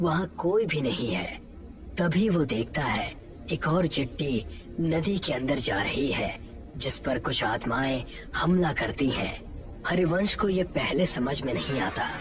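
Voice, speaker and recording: A cartoonish character voice at a middle pitch and moderate pace, with clear background noise. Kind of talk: horror narration.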